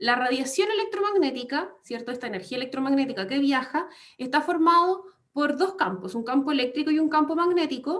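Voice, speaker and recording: At a fairly quick pace, a woman talks in a high pitch with very wide pitch swings. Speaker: radiology lecturer. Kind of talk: online lecture.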